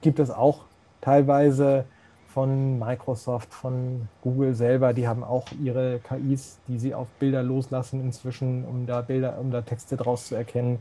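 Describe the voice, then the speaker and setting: Somewhat breathy and at a fairly slow pace, a man speaks at medium pitch with a dark, mellow tone and monotone, flat intonation. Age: 40s. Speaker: accessibility expert, blind since birth. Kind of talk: interview.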